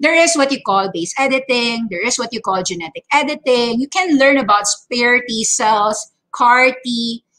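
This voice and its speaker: Over a quiet background, a woman speaks at a moderate pace with hardly any pauses. Her high-pitched voice has a bright, sharp tone and lively intonation. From Philippines. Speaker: stock trading educator. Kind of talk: market update livestream. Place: home room. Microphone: webcam.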